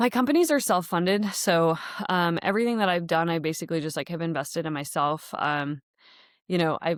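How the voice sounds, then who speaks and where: A woman with an American accent talks at a fairly quick pace in a fairly low voice with ordinary pitch variation. The recording is very clean with a silent background. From Netherlands-born, raised in the US. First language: Dutch. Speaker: podcast host and founder. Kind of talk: casual monologue. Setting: podcast studio. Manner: casual, many fillers.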